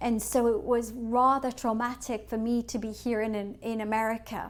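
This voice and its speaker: A woman with an English accent, fairly high pitch and monotone, flat intonation. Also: moderate pace. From England. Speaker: financial advisor. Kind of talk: webinar presentation. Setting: online webinar.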